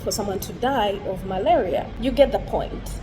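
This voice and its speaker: A woman with an African accent speaks at a fairly slow pace in a fairly high pitch, with ordinary pitch variation, audible room echo and music in the background. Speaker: vlogger. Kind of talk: personal vlog monologue. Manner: casual, conversational.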